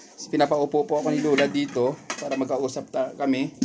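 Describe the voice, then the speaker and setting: With lively intonation and a fairly high pitch, a man talks at a moderate pace over noticeable background noise. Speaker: vlogger visiting senior citizens. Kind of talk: casual interview with elder. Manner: polite, patient.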